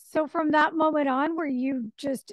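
A woman's voice, dry with no echo. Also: quiet background. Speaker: radio show host. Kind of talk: interview. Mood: friendly, curious. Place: home room.

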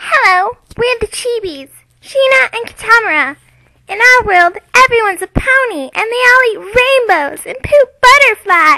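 In a put-on character voice at an extremely high pitch, a woman speaks at a moderate pace. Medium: voice reel. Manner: annoyingly adorable.

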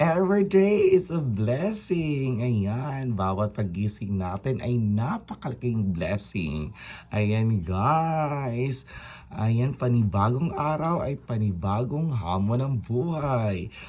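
A dark, mellow, warm tone, somewhat breathy, with very wide pitch swings at a very slow pace. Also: man, medium pitch for a man. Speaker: vlogger; overseas Filipino teacher. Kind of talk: motivational pep talk vlog. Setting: outdoors at sunrise. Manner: upbeat, animated, enthusiastic; repetitive, warm and encouraging.

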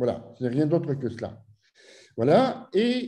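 A man speaks at a very slow pace in a dark, mellow tone. The background is quiet. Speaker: physics professor. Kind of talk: lecture. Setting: video call. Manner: halting. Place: home room. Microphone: webcam.

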